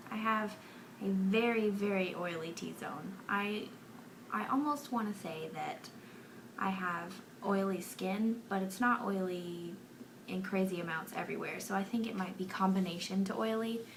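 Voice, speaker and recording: A soft-spoken woman talks at a moderate pace amid noticeable background noise and audible room echo. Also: medium pitch for a woman, ordinary pitch variation. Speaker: beauty vlogger. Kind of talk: casual chat. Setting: bedroom.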